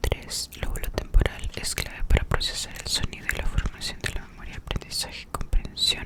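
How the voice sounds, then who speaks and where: A whisper at a moderate speed, with noticeable noise behind it. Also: woman. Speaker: ASMR creator. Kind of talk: whispered study session / reading notes. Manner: whispered, soft-spoken, close to the microphone.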